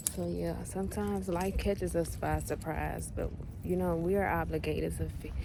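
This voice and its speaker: There is audible room echo around the voice. A woman talks at a moderate pace. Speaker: social media vlogger. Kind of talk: motivational talk. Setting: outdoors.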